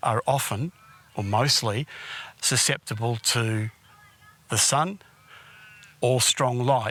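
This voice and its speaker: A man with an Australian accent speaks fairly slowly at a medium pitch, his pitch varying in an ordinary way. The sound is dry and close, with no echo. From Australia, Perth area. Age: 60s. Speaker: documentary filmmaker telling his life story. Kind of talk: documentary narration.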